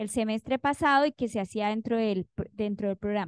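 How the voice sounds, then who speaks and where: A woman's voice with ordinary pitch variation, dry and close with no echo, over a quiet background. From Colombia, Cauca. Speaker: university professor. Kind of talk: academic presentation.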